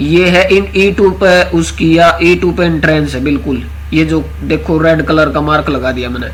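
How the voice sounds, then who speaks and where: Against noticeable background noise, a man speaks with a Haryana accent at a moderate pace. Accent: Haryanvi. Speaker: astro vastu consultant. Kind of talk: casual online class talk.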